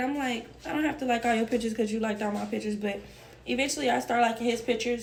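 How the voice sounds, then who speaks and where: Amid noticeable background noise and audible room echo, a woman with a fairly high pitch talks at a very fast pace, her pitch varying in an ordinary way. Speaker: storytime vlogger. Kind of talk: casual storytelling. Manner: casual, conversational.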